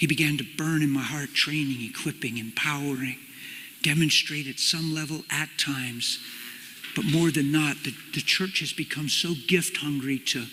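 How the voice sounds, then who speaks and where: Speech moves at a moderate pace. Background noise is noticeable throughout. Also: man, fairly high pitch for a man. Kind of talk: personal testimony / sermon to an audience. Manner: casual, animated storytelling.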